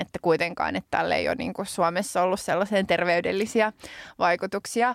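A woman's voice with vocal fry and fairly even intonation at a moderate pace, in a very clean recording with a silent background and a dry, close sound with no echo. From Finland. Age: 30s. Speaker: podcast co-host and politician. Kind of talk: casual chat. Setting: studio.

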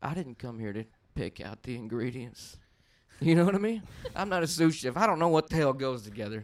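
A man with a Texan accent talks at a fairly quick pace in a medium pitch, his voice swinging very widely in pitch and shifting a lot in loudness. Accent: Texas, country. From Texas, Dallas area. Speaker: podcast guest, amateur stand-up comedian. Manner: casual storyteller, uses filler like "you know".

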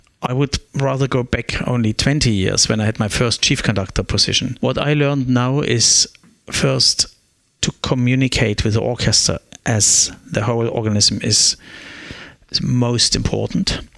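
A man with a German accent talks at a moderate pace and medium pitch. His pitch variation is ordinary and his loudness very even. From East Germany (Meissen). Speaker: orchestra conductor. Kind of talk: interview. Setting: coffee shop, then practice room. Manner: halting.

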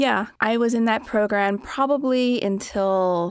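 A woman with an American accent talks at a very slow pace with lively intonation. The recording is very clean, with a silent background. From Philadelphia, US. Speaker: violinist and podcast producer. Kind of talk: casual interview. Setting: studio.

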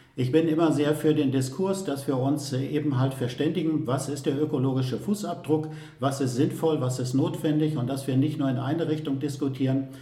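A man's fairly high voice with fairly even intonation at a moderate pace and hardly any pauses, amid noticeable background noise and audible room echo. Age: 60s. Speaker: mayor. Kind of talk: interview.

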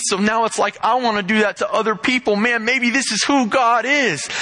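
A man with a high pitch projects his voice loudly at a moderate pace over noticeable background noise. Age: young (19). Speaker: pastor's son, lay preacher. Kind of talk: sermon.

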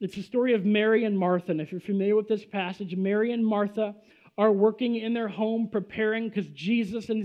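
Fairly even intonation over plain reading aloud

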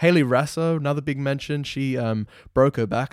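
A man with an Australian accent is heard in a dry, close sound with no echo. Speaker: football podcast co-host. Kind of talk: casual chat. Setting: remote call.

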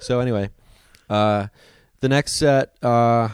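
A man's normal speaking voice, medium in pitch with fairly even intonation, on a very clean recording with a silent background. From US Midwest, Ohio. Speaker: stand-up comedian. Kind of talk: casual interview chat.

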